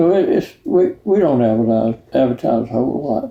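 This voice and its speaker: A fairly slow pace in a Georgia accent. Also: man. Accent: Georgia Southern US. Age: 90s. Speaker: marina owner. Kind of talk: oral history interview. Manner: halting.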